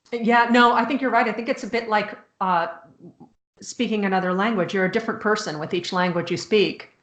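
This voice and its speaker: A woman talks fairly quickly with a Chicago accent. Her pitch is fairly high and shows ordinary variation. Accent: American, Chicago. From US Midwest, Chicago. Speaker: author. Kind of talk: casual chat.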